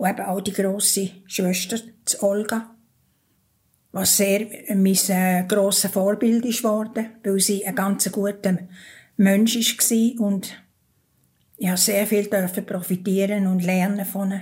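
In a Bernese accent, a woman speaks very slowly at a medium pitch, somewhat breathy and flat in intonation, with long, frequent pauses. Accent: Bernese Swiss German. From Switzerland, Thurgau. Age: 80s+. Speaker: interviewee telling her life story. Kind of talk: personal testimony in an interview. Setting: kitchen at her home.

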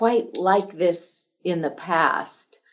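A woman speaks with lively intonation. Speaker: title company manager for land development. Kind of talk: interview.

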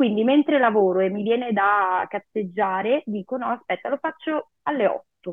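Using an unremarkable speaking voice, a woman talks with lively intonation. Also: fairly high pitch for a woman, moderate pace, hardly any pauses. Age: 30s. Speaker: psychologist and psychotherapist. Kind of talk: interview.

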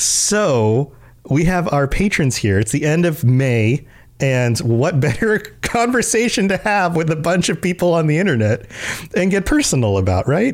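The speaker talks at a moderate pace with very even loudness. The pitch swings very widely. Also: man, fairly high pitch for a man. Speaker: podcast host. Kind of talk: casual chat. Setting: video call.

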